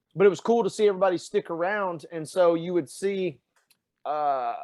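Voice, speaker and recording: With a strong Tennessee accent, a man speaks at a high pitch with ordinary pitch variation. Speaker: fitness coach and sports reporter. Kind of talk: podcast conversation. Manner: animated.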